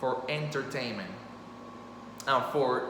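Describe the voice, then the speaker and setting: Speaking at a fairly slow pace with a Spanish accent, a man is heard over noticeable background noise and audible room echo. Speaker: storyteller and author. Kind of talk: impromptu monologue. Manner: casual, halting with fillers.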